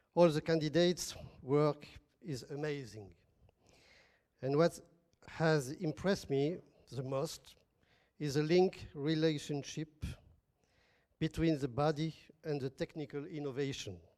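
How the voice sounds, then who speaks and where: Long, frequent pauses break up a dark, mellow tone delivered with a French accent. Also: man, fairly high pitch for a man, ordinary pitch variation, fairly slow pace. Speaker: academic partner from a French institution. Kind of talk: formal speech at an event.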